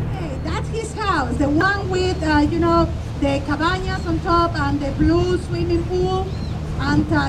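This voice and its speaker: Loud background noise accompanies speech at a fairly slow pace. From Mexico. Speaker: tour guide. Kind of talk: guided tour narration. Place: boat.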